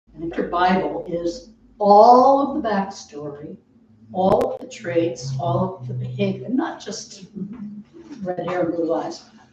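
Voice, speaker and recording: A woman with a medium pitch speaks with lively intonation and big swings in loudness. Noticeable background noise and audible room echo are present. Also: fairly slow pace. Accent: American. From Connecticut (Stamford, Norwalk). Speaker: author and fiction writing teacher. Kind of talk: author talk. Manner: halting, many fillers.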